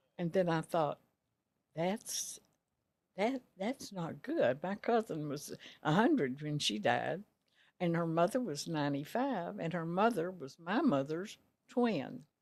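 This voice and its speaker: A woman with a Texan accent, fairly low pitch and very wide pitch swings, at a fairly slow pace with long, frequent pauses, on a very clean recording with a silent background. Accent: Texan Southern US. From Texas, Rosebud. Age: 90s. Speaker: retired dress shop owner. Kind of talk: interview.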